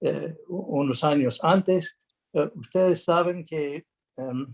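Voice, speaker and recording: A man with a non-native accent speaks at a fairly high pitch and a very slow pace. His pitch variation is ordinary, and the sound is dry and close with no echo. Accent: non-native Spanish speaker. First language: English (speaking Spanish). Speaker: international arbitrator, lawyer. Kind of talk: conference talk. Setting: video call, no camera. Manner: halting, many fillers.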